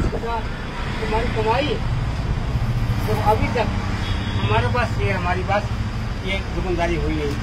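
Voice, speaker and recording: A man speaks at a very slow pace with long, frequent pauses. Loud background noise is present. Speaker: roadside food stall owner. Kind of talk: interview answer. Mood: earnest, emotional. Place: street. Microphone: phone near.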